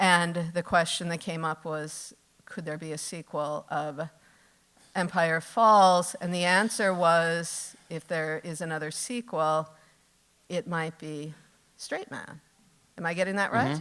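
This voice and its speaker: A woman with an American accent speaks at a very slow pace in a fairly low voice, on a very clean recording with a silent background. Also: fairly even intonation. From US Midwest. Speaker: author and interviewer. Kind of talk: onstage interview.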